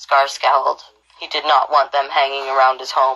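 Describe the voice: A woman speaks at an extremely low pitch. Her tone is bright and sharp, with little pitch movement. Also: moderate pace.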